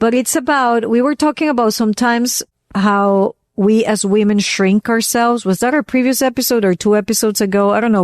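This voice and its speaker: A woman with a Venezuelan accent speaks in an animated tone at a fairly quick pace, her pitch fairly high with ordinary variation. The sound is dry and close with no echo, very even in loudness, against a quiet background. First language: Spanish. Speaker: podcast co-host. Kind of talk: casual chat.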